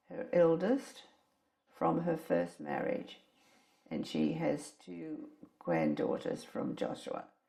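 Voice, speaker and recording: Very slow is the pace here. A woman speaks with an Australian accent. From Australia, Brisbane. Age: 80s+. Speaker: elderly woman telling her life story. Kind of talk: recorded life-story interview.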